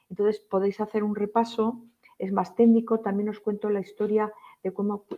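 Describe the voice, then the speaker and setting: Monotone, flat intonation marks this speech. The speaker is a woman with a medium pitch. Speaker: nurse. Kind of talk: lecture. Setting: live-streamed conference talk.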